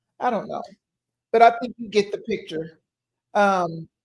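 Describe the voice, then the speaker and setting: Very slowly, a woman speaks in a fairly high, somewhat breathy voice with ordinary pitch variation. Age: 60s. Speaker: podcast host. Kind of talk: casual live podcast chat. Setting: live online stream. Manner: halting, many fillers.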